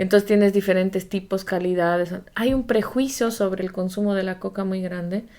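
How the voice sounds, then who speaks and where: A woman's dark, mellow tone at a moderate pace, with fairly even intonation and hardly any pauses, on a very clean recording with a silent background. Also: medium pitch for a woman. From Bolivia, Amazon lowlands. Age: 40s. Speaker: podcast co-host. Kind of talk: casual chat.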